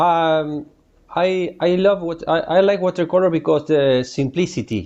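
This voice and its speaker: Speaking with a Spanish accent, a man keeps a fairly slow pace. His pitch is high for a man, with ordinary pitch variation. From Uruguay. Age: 40s. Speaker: painter. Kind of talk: interview. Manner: halting, many hesitations.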